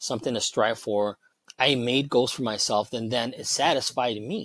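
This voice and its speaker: With ordinary pitch variation, this man talks at a medium pitch. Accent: Chicago. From Chicago. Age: 40s. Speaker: cybersecurity professional sharing weight loss story. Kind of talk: casual interview chat. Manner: halting, with many restarts.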